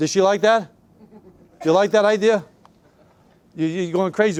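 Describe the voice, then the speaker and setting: High-pitched man in a Boston accent, fairly quick in pace, with ordinary pitch variation. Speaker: real estate sales trainer. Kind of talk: sales training talk.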